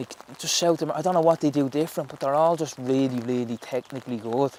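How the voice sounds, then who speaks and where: In a strong Dublin accent, a man talks at a very fast pace with a fairly high pitch and ordinary pitch variation. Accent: Dublin Irish, strong. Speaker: professional footballer. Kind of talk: casual interview chat. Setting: outdoors, footgolf course in rain.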